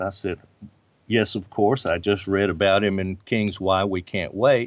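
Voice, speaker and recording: At a moderate pace, the speaker uses an unremarkable speaking voice with an American accent. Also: man. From US South, Birmingham, Alabama. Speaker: religious history professor and author. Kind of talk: interview.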